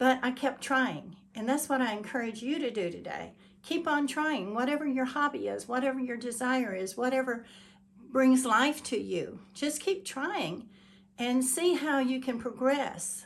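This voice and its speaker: With lively intonation, a woman speaks at a fairly slow pace in a high pitch. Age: 70s. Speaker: YouTuber, hobby painter. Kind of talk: motivational talk to camera. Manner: halting, with self-corrections.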